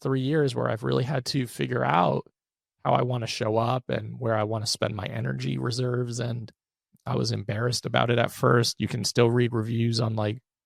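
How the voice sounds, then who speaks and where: A man with vocal fry speaks at a medium pitch and a fairly quick pace, with ordinary pitch variation and a dry, close sound with no echo. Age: 30s. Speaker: therapist turned business owner and podcast host. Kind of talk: interview conversation.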